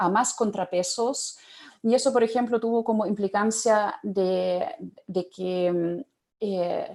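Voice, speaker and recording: A woman with a German accent, a fairly high pitch and a dark, mellow tone, at a very slow pace with fairly even intonation. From Germany. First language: German (speaking Spanish). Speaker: panelist, public policy expert. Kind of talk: panel talk. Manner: halting, many fillers.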